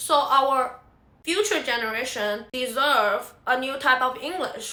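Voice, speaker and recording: With a Chinese accent, a woman speaks in a raised, projected voice at a high pitch, very slowly and with lively intonation. Noticeable background noise and audible room echo fill the recording. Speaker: singer-songwriter. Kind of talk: casual vlog monologue.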